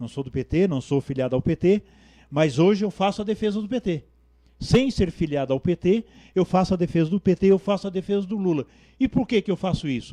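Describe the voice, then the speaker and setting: Fairly quick, lively speech from a man with high pitch and a dark, mellow tone, in a dry, close sound with no echo over a quiet background. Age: 60s. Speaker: community activist and bricklayer. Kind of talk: TV interview.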